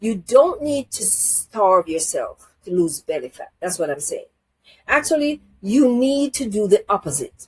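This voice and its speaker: A woman with a fairly high pitch and a somewhat breathy voice talks at a fairly slow pace with very wide pitch swings and big swings in loudness, in a dry, close sound with no echo. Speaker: health channel host. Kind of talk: health advice talk to camera.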